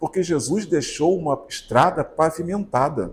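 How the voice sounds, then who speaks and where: A man speaks in a somewhat breathy voice. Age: 60s. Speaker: spiritist lecturer. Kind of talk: sermon.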